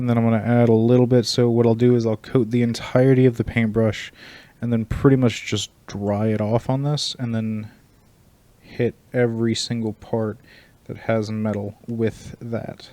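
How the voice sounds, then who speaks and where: A man speaks quietly at a moderate pace and a medium pitch. His tone is dark and mellow, and his intonation is monotone and flat. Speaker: streamer painting miniatures. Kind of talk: casual livestream tutorial.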